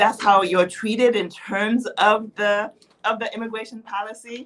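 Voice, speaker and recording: Speaking in a Haitian accent, a woman talks at a moderate pace with a fairly high pitch. Her intonation is monotone and flat, while her loudness swings widely. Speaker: policy advocate and author. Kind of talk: interview conversation.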